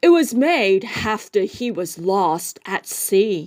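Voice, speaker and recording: A woman's put-on character voice at a medium pitch, with lively intonation and a very slow pace. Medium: read story. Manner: gruff.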